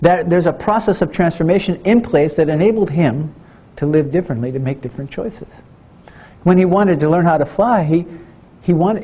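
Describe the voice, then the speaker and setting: This man talks very fast in an American accent. His pitch is high. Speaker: Zen Buddhist monk and Vietnam combat veteran. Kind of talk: talk to an audience about healing and war experience. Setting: university lecture. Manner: direct, reflective, conversational.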